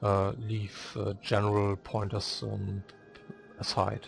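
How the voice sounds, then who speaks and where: Over music in the background, a man with a non-native accent speaks at a fairly low pitch and very slow pace, his intonation fairly even. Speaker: video game guide maker. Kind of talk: game tutorial narration. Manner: hesitant, many filler sounds.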